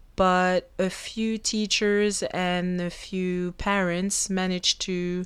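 Over a very clean recording with a silent background, a woman with a French accent speaks at medium pitch with fairly even intonation. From Belgium. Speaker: podcast host. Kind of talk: solo podcast monologue. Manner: casual, chatty.

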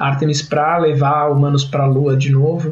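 Against noticeable background noise and audible room echo, a man speaks with a fairly high pitch. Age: 30s. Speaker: podcast host, forensic scientist. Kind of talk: casual science podcast chat.

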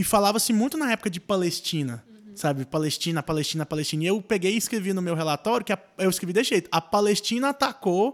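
A high-pitched man at a very fast pace, with lively intonation. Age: 20s. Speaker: podcast host. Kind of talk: casual chat.

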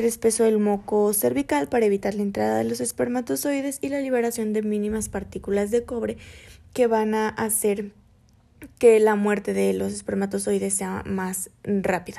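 She speaks at a moderate pace. The recording is very clean, and the background is silent. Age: 20s. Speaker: student podcaster. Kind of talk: educational podcast.

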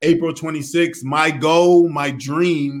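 A man's high voice with an American accent and fairly even intonation, on a very clean recording with a silent background. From southern New England (Rhode Island / Connecticut). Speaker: filmmaker and interviewer. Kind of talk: podcast interview.

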